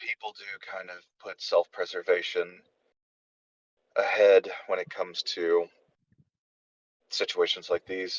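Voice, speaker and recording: A man puts on a raspy character voice at a moderate pace. He leaves long, frequent pauses. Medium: actual play. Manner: polite, careful.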